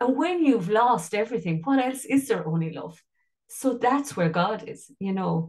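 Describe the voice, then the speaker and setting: Very wide pitch swings and a somewhat breathy quality at a moderate pace, with a western Irish accent, against a quiet background. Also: woman, fairly high pitch for a woman. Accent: Irish (west of Ireland). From Ireland, County Mayo; Ireland. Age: 50s. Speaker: life coach and singer; life coach. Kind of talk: casual interview chat. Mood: reflective, heartfelt. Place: home room. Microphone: video call.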